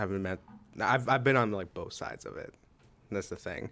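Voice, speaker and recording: On a very clean recording with a silent background, a man with an American accent speaks at a moderate pace in a bright, sharp tone with ordinary pitch variation. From Pittsburgh, Pennsylvania. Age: 20s. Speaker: freelance videographer. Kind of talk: casual chat.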